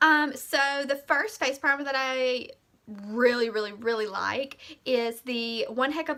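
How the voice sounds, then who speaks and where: A woman with a Southern US accent projects her high-pitched voice at a fairly slow pace with ordinary pitch variation, in a very clean recording with a silent background. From US South, Mississippi. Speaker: beauty vlogger. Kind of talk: product review tutorial. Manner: casual, many fillers.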